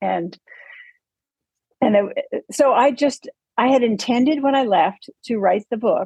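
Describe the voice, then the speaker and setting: Speaking at a very slow pace, a woman uses a fairly high pitch and lively intonation. The sound is dry and close, with no echo. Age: 80s+. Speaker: author and former weight-loss group leader. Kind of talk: interview. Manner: halting.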